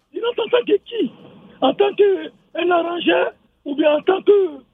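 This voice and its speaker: The man's voice is extremely high in pitch. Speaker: radio call-in listener. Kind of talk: call-in radio comment. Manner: halting.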